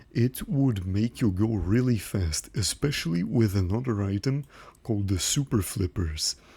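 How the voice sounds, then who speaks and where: Recorded very cleanly against a silent background, a man with a slight non-native accent speaks fairly slowly in a fairly low, dark, mellow, somewhat breathy voice with lively intonation. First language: not English. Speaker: gaming YouTuber. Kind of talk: commentary monologue. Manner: casual.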